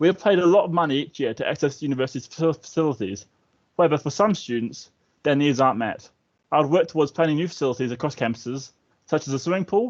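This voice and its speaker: A man talks at a very fast pace in a New Zealand accent. His pitch is fairly high, with ordinary variation. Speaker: student election candidate. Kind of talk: campaign speech.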